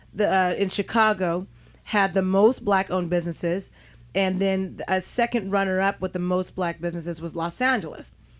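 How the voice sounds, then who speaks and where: A woman talks in an ordinary speaking voice at a medium pitch and a moderate pace. Her intonation is fairly even, and the background is quiet. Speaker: radio talk show host. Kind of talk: radio talk show discussion. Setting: radio studio.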